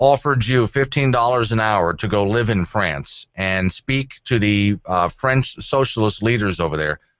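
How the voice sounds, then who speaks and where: An ordinary speaking voice, this man's is fairly low in pitch, with lively intonation, a moderate pace and hardly any pauses. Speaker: talk radio host. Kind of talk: talk radio show host banter with callers.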